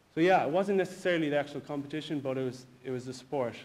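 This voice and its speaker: The speaker has a Galway accent and ordinary pitch variation. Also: man. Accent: Galway Irish. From Ireland, Galway; Ireland. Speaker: personal trainer and bodybuilder; personal trainer. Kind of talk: personal testimony. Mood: reflective, personal story. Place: hall.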